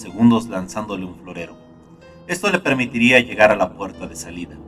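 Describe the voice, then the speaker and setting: With music in the background, a voice moves at a moderate pace and carries lively intonation. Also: man. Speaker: narrator. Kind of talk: horror story narration. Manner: dark, gloomy.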